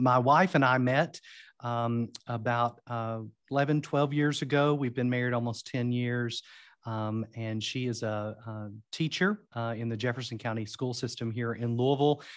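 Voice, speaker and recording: Against a quiet background, a man talks at a moderate pace. His medium-pitched voice keeps a fairly even intonation. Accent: American. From Eastern Kentucky, US. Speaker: seminary professor and author. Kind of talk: interview about a book, religious discussion. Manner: formal, hesitant with filler words.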